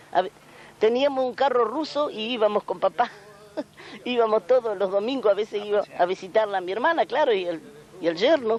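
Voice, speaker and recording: Against noticeable background noise, a woman with a fairly high voice talks at a fairly quick pace but leaves long, frequent pauses. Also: ordinary pitch variation. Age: 70s. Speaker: aunt of a folk singer. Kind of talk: interview. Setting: at her family home. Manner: halting.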